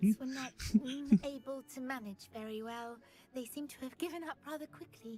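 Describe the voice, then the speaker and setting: Someone speaks in a put-on character voice at a moderate pace. Background noise is clearly heard. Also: female-sounding voice, high pitch for a woman. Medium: video game. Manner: eager, talks of herself in third person.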